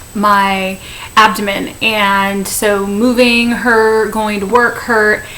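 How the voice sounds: A woman speaks in a bright, sharp tone with little pitch movement. Faint background noise sits behind her.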